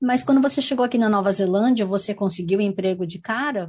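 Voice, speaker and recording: A somewhat breathy woman at a medium pitch, moderate pace and lively intonation, with a quiet background. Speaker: community radio host and actress. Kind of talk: interview.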